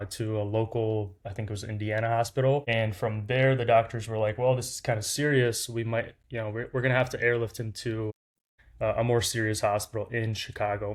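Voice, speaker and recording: At a fairly quick pace, a man speaks with a Lithuanian accent. His pitch is medium and his intonation monotone and flat. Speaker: startup founder. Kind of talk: interview storytelling. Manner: casual, many fillers.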